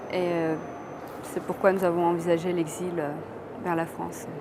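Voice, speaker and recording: A woman talks at a moderate pace. Music plays behind her. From Romania. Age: 20s. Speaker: law student and author. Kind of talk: interview answer.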